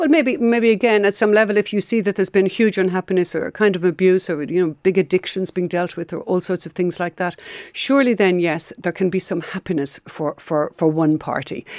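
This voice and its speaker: Fairly quick and with hardly any pauses, a woman in an ordinary speaking voice talks at a medium pitch with ordinary pitch variation, the sound dry and close with no echo. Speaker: clinical psychotherapist. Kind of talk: radio interview. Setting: studio.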